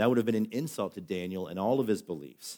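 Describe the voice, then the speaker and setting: A man's fairly low, dark, mellow voice at a fairly quick pace, ordinary pitch variation, very clean recording, silent background. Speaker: pastor. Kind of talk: sermon. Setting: church. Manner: fast.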